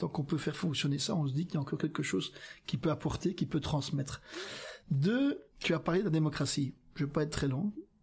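A man speaks at a very fast pace with very even loudness and ordinary pitch variation. The recording is very clean, with a silent background. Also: fairly high pitch for a man. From Flanders, Belgium. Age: 60s. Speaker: politician. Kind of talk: casual chat. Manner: halting.

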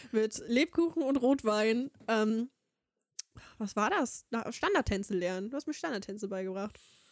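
A woman speaks fairly slowly at a fairly high pitch, with lively intonation and long, frequent pauses. The sound is dry and close, with no echo. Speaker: podcast co-host. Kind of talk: casual chat.

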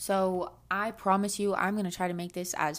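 Animated tone from a woman at a medium pitch, on a very clean recording with a silent background. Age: 20s. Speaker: podcast host. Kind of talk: casual monologue.

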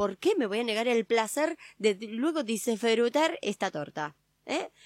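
A woman talks in a normal speaking voice with a fairly high pitch. Her intonation is lively, and the recording is very clean with a silent background. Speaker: radio co-host. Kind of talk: casual chat.

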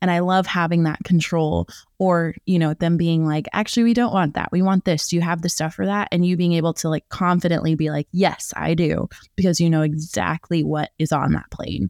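A woman's ordinary speaking voice, fairly low in pitch, at a fairly quick pace with fairly even intonation and very even loudness, dry and close with no echo, on a very clean recording with a silent background. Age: 20s. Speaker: private flight attendant, podcast host. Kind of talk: casual interview chat.

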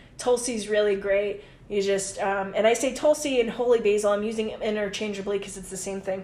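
A woman with a medium pitch speaks at a fairly quick pace and with fairly even intonation over noticeable background noise. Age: 30s. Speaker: herbalist. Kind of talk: casual chat.

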